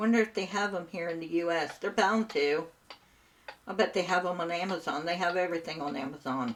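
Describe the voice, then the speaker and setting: Ordinary pitch variation comes at a fairly quick pace through noticeable background noise. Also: woman, fairly low pitch for a woman. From Southern Ohio, US. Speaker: gaming streamer. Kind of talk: casual chat. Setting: live stream. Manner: animated.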